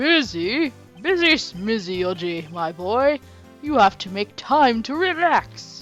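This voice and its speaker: Faint music plays in the background as a put-on character voice with a fairly high pitch and very wide pitch swings speaks at a fairly slow pace. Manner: warm, chatty.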